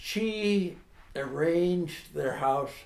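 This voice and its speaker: Speaking with an American accent, a man goes at a very slow pace with ordinary pitch variation. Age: 80s+. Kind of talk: oral history interview answer.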